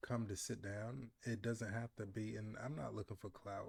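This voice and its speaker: Fairly slow, somewhat breathy speech with ordinary pitch variation. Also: man. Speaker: YouTube commentary vlogger. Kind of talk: casual commentary monologue.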